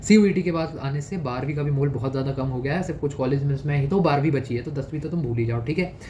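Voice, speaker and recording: A man with a fairly high pitch speaks with hardly any pauses and ordinary pitch variation. Room echo is audible and background noise noticeable. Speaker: exam prep youtuber. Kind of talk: advice monologue. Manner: casual, conversational.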